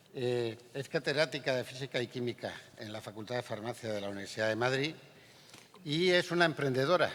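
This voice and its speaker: Talking at a fairly quick pace, a man holds a medium pitch. His pitch varies in an ordinary way. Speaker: panel moderator. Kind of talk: moderating a panel.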